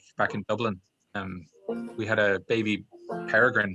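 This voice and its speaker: A medium-pitched man with an American accent, at a moderate pace with fairly even intonation, with music in the background. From US South, Atlanta, Georgia. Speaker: banjo teacher. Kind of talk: casual chat.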